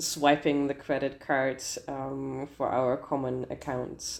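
A woman is speaking. She has a German accent. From Germany. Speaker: lawyer and translator. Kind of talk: interview. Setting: video call. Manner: hesitant, frequent fillers.

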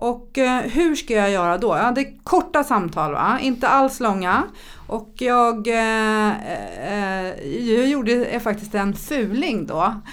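Lively intonation marks a woman's fairly high-pitched voice. She speaks at a very slow pace. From Sweden, childhood partly in Thailand. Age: 50s. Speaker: entrepreneur and public speaker. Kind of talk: podcast interview. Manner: animated.

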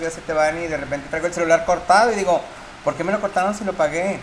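Over noticeable background noise, a man speaks in a high voice with a Mexican accent and fairly even intonation. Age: 40s. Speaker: university teacher and podcast co-host. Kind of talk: casual chat.

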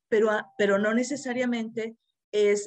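Recorded with a dry, close sound and no echo, a woman speaks with fairly even intonation. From Mexico, Monterrey. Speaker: therapist and course instructor. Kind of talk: live-streamed interview. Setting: video call.

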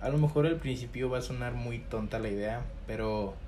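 A man is speaking at a moderate pace. Room echo can be heard. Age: 20s. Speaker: podcast host. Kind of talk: casual monologue to camera. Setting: home recording to camera. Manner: hesitant, many fillers.

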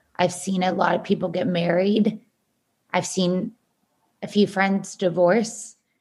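Delivery is fairly slow, somewhat breathy and monotone, with flat intonation. Long pauses come frequently. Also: woman, medium pitch for a woman. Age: 30s. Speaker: dating app entrepreneur. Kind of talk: casual chat.

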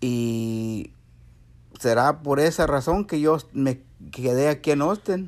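Speaking at a very slow pace with long, frequent pauses, a man uses a fairly high pitch. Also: ordinary pitch variation. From Mexico, San Luis Potosí. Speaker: immigrant grandfather. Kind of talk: interview.

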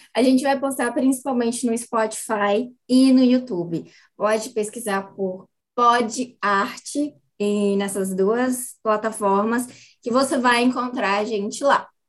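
Against a quiet background, a woman with a fairly high pitch talks at a very slow pace with fairly even intonation. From Brazil, São Paulo state (Tatuí). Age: 20s. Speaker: theatre actress and podcast co-host. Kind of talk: casual chat.

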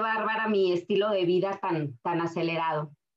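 In a normal speaking voice, a woman talks at medium pitch and moderate pace with ordinary pitch variation. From Aguascalientes, Mexico. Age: 30s. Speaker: network marketing distributor. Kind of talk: personal testimony presentation. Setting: online live session.

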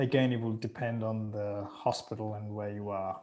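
A man is talking at a moderate speed. His pitch sits fairly low. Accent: Australian. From Sri Lanka, raised in Australia. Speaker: pilot and expat. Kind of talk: interview.

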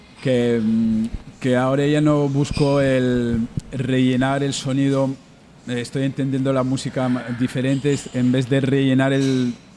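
A man at medium pitch talks fairly slowly with monotone, flat intonation and very even loudness, pausing long and often amid noticeable background noise. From mixed Berber and Basque heritage. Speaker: musician and therapist. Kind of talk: casual radio interview. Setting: radio broadcast from a bar.

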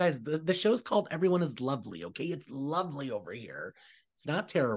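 Over a quiet background, a man with a fairly high pitch talks at a fairly quick pace with vocal fry. His intonation is lively and his loudness swings widely. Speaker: podcast host. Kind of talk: casual chat.

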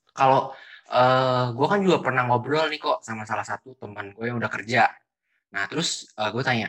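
A man's bright, sharp voice at medium pitch, fairly quick in pace, with ordinary pitch variation. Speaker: student podcast host. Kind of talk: casual interview.

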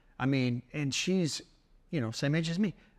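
In a very clean recording with a silent background, a man with an unremarkable speaking voice talks at a fairly high pitch and moderate pace, his intonation lively. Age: 50s. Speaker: faith podcast co-host. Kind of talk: casual chat.

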